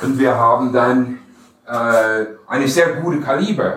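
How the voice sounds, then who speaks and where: The delivery is very slow, with ordinary pitch variation. Audible room echo and noticeable background noise sit behind it. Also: man. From USA. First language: English (speaking German). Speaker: firearms company export manager. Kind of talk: product demonstration and shooting instruction. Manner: halting.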